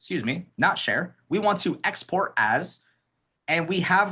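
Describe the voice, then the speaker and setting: A man's bright, sharp tone over a quiet background. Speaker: accessibility trainer. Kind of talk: webinar tutorial.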